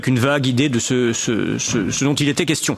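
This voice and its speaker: A man speaks at a moderate pace with fairly even intonation over noticeable background noise. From Switzerland. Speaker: essayist speaking at a conference. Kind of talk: conference talk. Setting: conference room with interpreters. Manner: halting, many repeated words.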